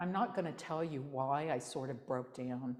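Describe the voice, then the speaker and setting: A woman speaks here. Her pace is fairly slow. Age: 60s. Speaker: Zen teacher. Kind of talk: dharma talk with questions and answers.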